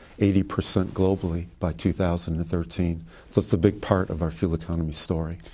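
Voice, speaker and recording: A man with an American accent speaks at a fairly quick pace in a very deep, low voice. His tone is dark and mellow, with fairly even intonation. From Detroit. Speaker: automotive executive. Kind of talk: studio interview. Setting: studio.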